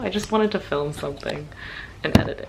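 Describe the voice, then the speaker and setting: Lively intonation colors a woman's speech while noticeable background noise continues. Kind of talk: casual get-ready-with-me makeup talk to camera.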